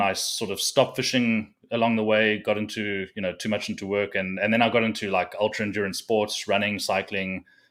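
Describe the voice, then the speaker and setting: In a South African accent, a man speaks with a fairly low pitch and a monotone, flat delivery on a very clean recording with a silent background. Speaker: fishing content creator and tournament angler. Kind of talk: casual chat.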